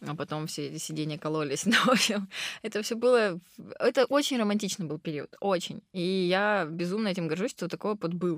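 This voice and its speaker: A woman talks at a moderate pace and medium pitch with lively intonation, in an ordinary speaking voice. The recording is very clean, with a silent background. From southern Russia, Krasnodar. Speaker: restaurant owner. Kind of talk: interview.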